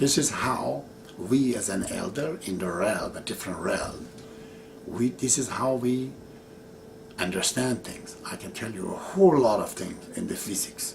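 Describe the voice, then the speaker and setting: With a Persian accent, a man speaks at medium pitch and a fairly slow pace, his intonation lively and his loudness swinging widely, amid audible room echo and noticeable background noise. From Iran. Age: 60s. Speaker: religious teacher. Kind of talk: video monologue.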